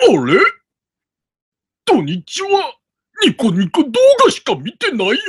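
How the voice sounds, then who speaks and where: The speaker uses a put-on character voice with a fairly high pitch. The pace is fairly slow, with long, frequent pauses. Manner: comic impression.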